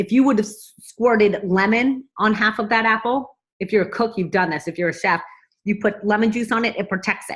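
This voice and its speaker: Somewhat breathy and fairly high, a woman's voice moves at a fairly quick pace with an animated tone and ordinary pitch variation. The recording is very clean, with a silent background. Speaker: vlogger promoting a nutrition supplement. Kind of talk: casual sales pitch to camera. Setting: at home. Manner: fast.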